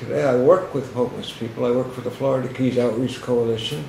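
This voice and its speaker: His voice sits at a medium pitch, with echo from the room clearly audible. Background noise is noticeable throughout as the man talks. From Boston area. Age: 60s. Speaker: homeless outreach worker, former homeless alcoholic. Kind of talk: testimony.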